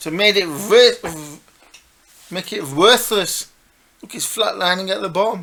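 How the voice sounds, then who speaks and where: Speaking fairly slowly with long, frequent pauses, a man raises and projects his high voice, its loudness swinging widely while his pitch varies in an ordinary way. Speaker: financial markets analyst. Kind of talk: market analysis commentary. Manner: animated.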